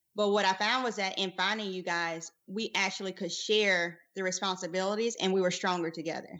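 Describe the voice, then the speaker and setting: A woman with a South Carolina accent, medium pitch and fairly even intonation, at a fairly quick pace with hardly any pauses. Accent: Southern US (South Carolina). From US South, rural South Carolina. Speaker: podcast co-host, physician. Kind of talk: casual chat.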